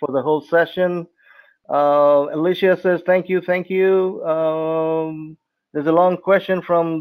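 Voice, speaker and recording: The man's fairly high voice holds a monotone, flat intonation. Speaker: webinar co-host moderator. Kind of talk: webinar moderating, reading questions. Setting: online webinar.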